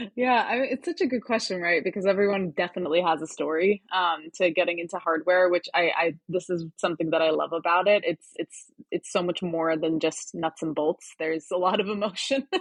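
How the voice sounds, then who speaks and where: A woman's fairly low voice at a fairly quick pace, with hardly any pauses and ordinary pitch variation. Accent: American. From Turkey (Ankara). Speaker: hardware startup advisor and engineer. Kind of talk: podcast interview.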